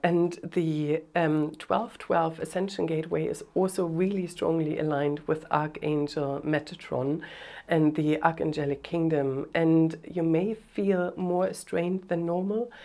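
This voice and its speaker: A woman speaks with hardly any pauses and fairly even intonation. Her pitch is fairly low, with a dark, mellow tone. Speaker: spiritual teacher and light language channel. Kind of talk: spiritual talk to camera. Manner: hesitant, many fillers.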